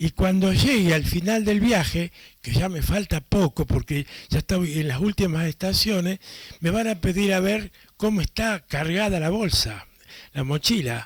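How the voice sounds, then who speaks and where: Talking at a fairly slow pace, a man with a high pitch is heard in a dry, close sound with no echo. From Argentina. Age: 80s+. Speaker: priest and catechist. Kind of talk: conference talk. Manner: halting, with many fillers.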